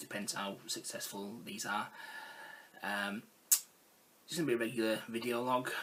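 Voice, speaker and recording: Over noticeable background noise, a man at medium pitch speaks at a moderate pace with ordinary pitch variation and long, frequent pauses. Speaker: gaming vlogger. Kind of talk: casual talk to camera.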